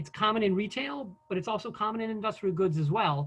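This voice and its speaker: Ordinary pitch variation runs through the speech. The speaker is a man. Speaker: business software presenter. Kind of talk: conference presentation. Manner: fast; hesitant with fillers.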